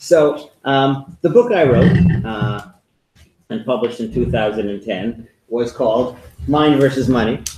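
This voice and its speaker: A man with a New York accent at medium pitch, ordinary pitch variation and a fairly slow pace. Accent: New York American. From US, New York. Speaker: author and former history professor. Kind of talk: lecture.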